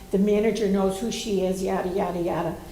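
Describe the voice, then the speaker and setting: Audible room echo and noticeable background noise accompany a woman as she talks. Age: 70s. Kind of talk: audience question at panel.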